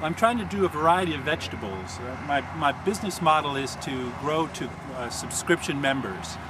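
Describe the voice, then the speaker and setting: Against noticeable background noise, a man speaks at a moderate pace and fairly high pitch, with lively intonation and hardly any pauses. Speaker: farmer. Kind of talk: interview answer. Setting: outdoors. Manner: calm.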